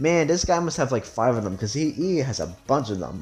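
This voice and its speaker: Music plays behind a man speaking at a fairly high pitch. His pitch swings very widely. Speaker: gaming youtuber. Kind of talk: video game commentary. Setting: home recording room. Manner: halting, self-correcting; casual.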